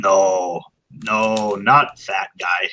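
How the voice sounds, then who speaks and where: A very deep, low-pitched put-on character voice from a man. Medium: actual play. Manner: terse, clipped.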